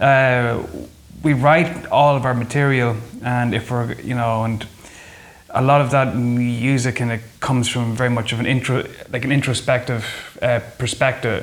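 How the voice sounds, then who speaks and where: A man with an Irish accent talks at a moderate pace and medium pitch in a monotone, flat intonation. He leaves long, frequent pauses, and there is noticeable background noise. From Ireland. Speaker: folk musician. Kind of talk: interview.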